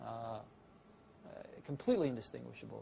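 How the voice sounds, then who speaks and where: A somewhat breathy man with an American accent. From San Francisco, California. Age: 40s. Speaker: tech entrepreneur. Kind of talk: interview answer.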